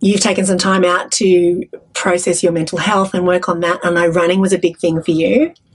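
In an Australian accent, a woman of medium pitch talks at a fairly quick pace with fairly even intonation and very even loudness against a quiet background. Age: 50s. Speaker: podcast host. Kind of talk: casual interview. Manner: chatty. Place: studio. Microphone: studio mic.

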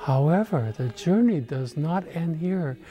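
A man speaks with lively intonation. Music plays in the background. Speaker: archbishop. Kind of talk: religious Christmas address to camera. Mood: calm, warm, solemn. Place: church.

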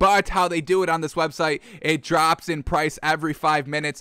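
Against a quiet background, a man speaks at a moderate pace with a bright, sharp tone in a dry sound with no echo. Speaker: sports show host. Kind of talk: casual show commentary. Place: home room. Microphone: studio mic.

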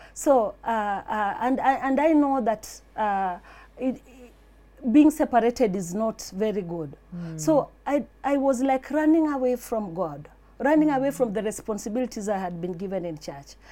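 The voice carries a dark, mellow tone at a moderate pace, with very wide pitch swings. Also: woman. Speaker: interview guest. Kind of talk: interview answer, personal testimony. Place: studio.

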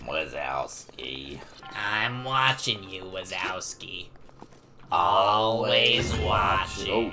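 In a put-on character voice, a man speaks very slowly with a raspy, fairly low pitch while clear background noise is heard. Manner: menacing, watchful.

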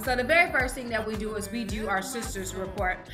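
With music in the background, a woman speaks at a very fast pace. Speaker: online fitness group host. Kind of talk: energetic group meeting talk. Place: home room. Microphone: webcam.

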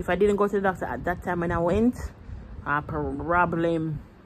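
An unremarkable speaking voice moves at a moderate pace with light background noise behind it. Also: woman. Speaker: vlogger. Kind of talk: casual vlog chat, storytelling. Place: home room. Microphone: phone near.

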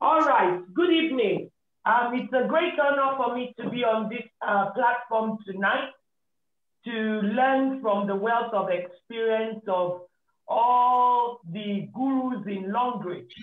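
Audible room echo surrounds a woman speaking at a very slow pace. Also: ordinary pitch variation. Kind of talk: introductory remarks on a video call. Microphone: video call.

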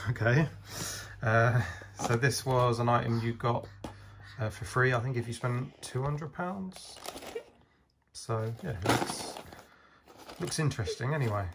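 The speech is broken by long, frequent pauses. Loud noise fills the background. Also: fairly slow pace. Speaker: toy collector reviewer. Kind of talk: casual unboxing chat. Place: home room. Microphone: phone near.

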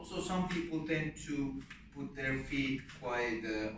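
The pace is very slow. Room echo is audible, and background noise is noticeable. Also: man. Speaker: martial arts instructor. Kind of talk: tutorial. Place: gym. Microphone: camera far.

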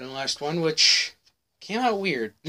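A man talks at a moderate speed while noticeable background noise can be heard. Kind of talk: casual vlog chat. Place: home room. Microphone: webcam.

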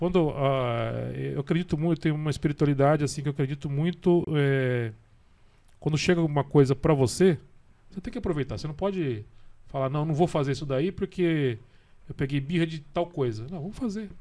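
A man's fairly high, dark, mellow voice at a fairly quick pace, with ordinary pitch variation and long, frequent pauses. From Brazil, São Paulo state. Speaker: radio journalism director. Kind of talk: casual chat. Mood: relaxed, conversational. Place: studio. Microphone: studio mic.

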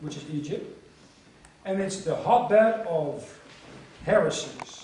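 A man's high-pitched voice with lively intonation and audible room echo. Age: 40s. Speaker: missionary preacher. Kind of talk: conference lecture. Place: hall.

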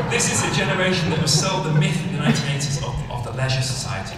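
Against loud background noise and audible room echo, a man speaks at a very fast pace. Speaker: conference speaker. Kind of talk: lecture. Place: stage.

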